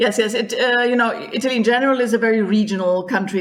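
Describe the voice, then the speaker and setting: Her German accent carries a fairly high pitch as the woman speaks. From Germany. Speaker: tour guide. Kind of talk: podcast interview. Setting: remote recording.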